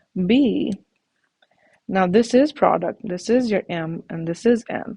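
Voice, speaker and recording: Somewhat breathy, a woman at a medium pitch speaks at a fairly slow pace with lively intonation and a dry, close sound with no echo. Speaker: math teacher. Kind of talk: tutorial.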